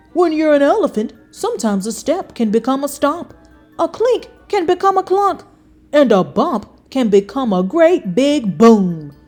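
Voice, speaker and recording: A woman's put-on character voice at a moderate pace, with faint music in the background. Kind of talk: bedtime story. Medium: read story.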